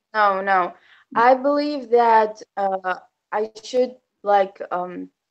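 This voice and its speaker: Speaking at a very slow pace, a woman uses a fairly high pitch. Her pitch varies in an ordinary way. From Yemen. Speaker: English learner. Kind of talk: casual chat. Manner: halting.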